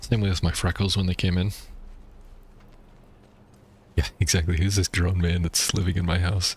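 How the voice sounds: With a North American accent, a man speaks at a moderate pace in a low voice with a slightly husky edge and little pitch movement.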